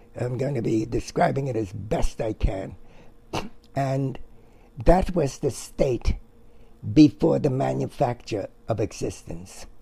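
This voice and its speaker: A man talks at a fairly slow pace with long, frequent pauses. His medium-pitched voice shows vocal fry and lively intonation. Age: 80s+. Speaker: retired comic book artist. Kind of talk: casual interview conversation.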